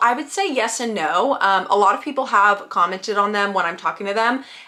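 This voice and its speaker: A woman speaks at a very fast pace with lively intonation, with noticeable background noise behind her. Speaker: content creator. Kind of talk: vlog tutorial. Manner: casual, chatty.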